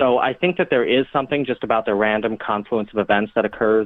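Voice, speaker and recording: Speaking fairly quickly, a man uses a plain, everyday voice at a medium pitch. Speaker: disaster preparedness expert. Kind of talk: casual chat.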